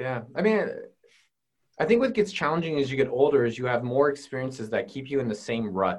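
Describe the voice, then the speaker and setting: This man has an ordinary speaking voice at medium pitch, moving at a fairly quick pace with lively intonation. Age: 30s. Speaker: entrepreneur and YouTuber. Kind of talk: casual interview chat.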